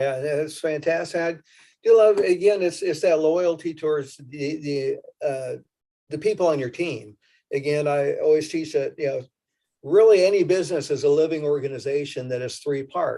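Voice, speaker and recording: At a moderate pace, a man with a fairly high pitch speaks in a dark, mellow tone. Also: ordinary pitch variation. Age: 60s. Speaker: panel moderator. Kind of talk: panel discussion.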